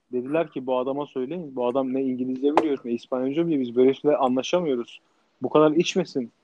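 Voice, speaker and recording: Speaking very fast, a man keeps to a medium pitch. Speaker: podcast co-host, restaurant owner abroad. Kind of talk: casual chat. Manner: animated; halting.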